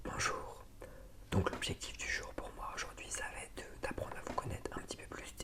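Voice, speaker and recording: A man whispering in a gentle, calm tone at a moderate pace, over noticeable background noise. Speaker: ASMR creator. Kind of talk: ASMR roleplay, asking questions to help sleep. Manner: gentle, calm, soft-spoken.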